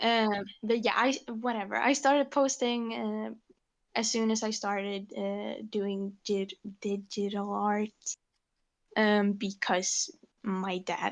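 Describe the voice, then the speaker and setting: A woman's very slow, fairly evenly intoned voice at medium pitch, with a non-native accent and a quiet background. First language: not English. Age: 18. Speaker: digital artist. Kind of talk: casual interview chat. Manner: halting, many fillers.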